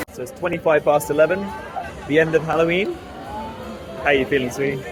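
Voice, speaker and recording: With music in the background and audible room echo, a man speaks very fast at a fairly high pitch with ordinary pitch variation. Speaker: hobby sewing vlogger. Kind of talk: casual vlog.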